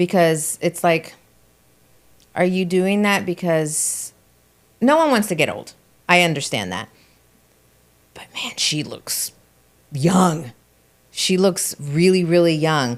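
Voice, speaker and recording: At a very slow pace with long, frequent pauses, a woman speaks at a fairly low pitch with ordinary pitch variation and big swings in loudness. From Colombia. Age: 50s. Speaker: podcast guest, entrepreneur. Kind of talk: casual chat.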